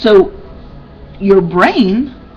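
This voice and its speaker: Lively in intonation, a woman with a medium pitch speaks in a room with audible echo and noticeable background noise. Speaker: personal development vlogger. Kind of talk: casual webcam talk.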